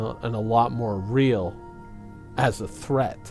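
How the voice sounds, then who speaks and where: Music in the background behind a man's medium-pitched voice at a fairly slow pace. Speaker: gaming commentator. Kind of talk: casual gaming commentary talk.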